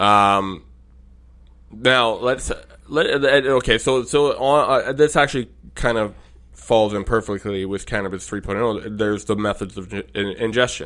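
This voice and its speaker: At a moderate pace, the delivery shows ordinary pitch variation. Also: man, medium pitch for a man, very clean recording, silent background. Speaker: podcast host. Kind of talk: casual chat.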